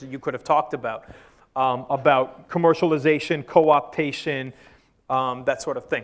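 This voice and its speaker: In a very clean recording with a silent background, a man speaks fairly quickly with fairly even intonation. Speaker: university lecturer. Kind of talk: lecture. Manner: fast.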